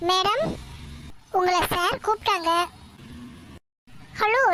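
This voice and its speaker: A woman's cartoonish character voice, extremely high and at a fairly slow pace, over clear background noise. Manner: polite, nervous.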